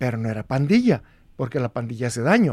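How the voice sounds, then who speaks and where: A man speaks at a moderate pace in a dark, mellow tone. The recording is very clean with a silent background, and the sound is dry and close with no echo. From Mexico, Guadalajara (Jalisco). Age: 70s. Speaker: law professor and former guerrilla. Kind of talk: interview testimony.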